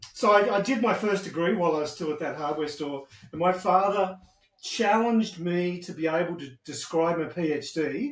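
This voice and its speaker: A man talks in a high voice with an Australian accent. His pace is moderate and his pitch moves in an ordinary way. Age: 60s. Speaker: retired IT specialist. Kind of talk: interview.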